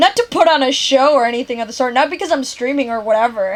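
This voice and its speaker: Loud and animated, a woman speaks at a very fast pace in a high pitch with lively intonation. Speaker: game streamer. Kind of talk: casual chat.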